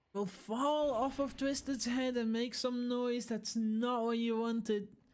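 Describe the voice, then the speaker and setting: Speaking at a fairly slow pace with a non-native accent, a woman keeps a high pitch and very even loudness. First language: not English. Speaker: esports caster. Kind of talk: live commentary; casual chat. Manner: animated.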